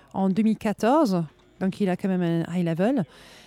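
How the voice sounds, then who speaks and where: Recorded very cleanly against a silent background, a woman talks in a dark, mellow tone at medium pitch with ordinary pitch variation. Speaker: radio host. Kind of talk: live radio interview. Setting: live at a jazz club.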